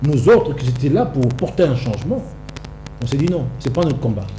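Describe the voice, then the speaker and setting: A man talks fairly briskly with ordinary pitch movement, while audible room echo and noticeable background noise fill the recording. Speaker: political activist. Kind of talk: TV interview. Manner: soft-spoken.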